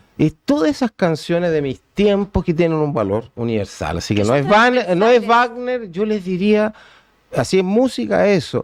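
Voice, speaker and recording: A man's high voice with very wide pitch swings, over a quiet background. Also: moderate pace. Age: 60s. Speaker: law professor. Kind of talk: interview.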